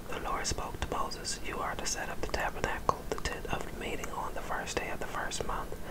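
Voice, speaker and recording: Whispering at a fairly quick pace, the voice has a soothing tone. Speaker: ASMR Bible reader. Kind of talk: ASMR whisper scripture reading. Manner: whispered, soothing.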